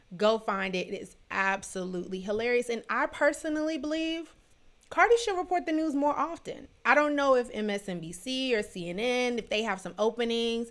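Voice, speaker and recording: A woman with an American accent and a high pitch talks at a fairly quick pace, with very wide pitch swings and big swings in loudness, on a very clean recording with a silent background. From Washington DC area. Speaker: live show host. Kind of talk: casual livestream chat. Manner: animated.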